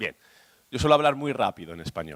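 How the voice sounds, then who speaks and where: A man with vocal fry talks very fast in a dry, close sound with no echo. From Spain. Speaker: industry association secretary. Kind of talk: conference presentation.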